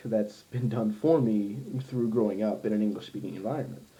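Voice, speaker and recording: This man's pitch varies in an ordinary way, with noticeable background noise present. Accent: American. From US Midwest, Ohio. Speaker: language learner, polyglot vlogger. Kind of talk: casual vlog monologue. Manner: many fillers, halting.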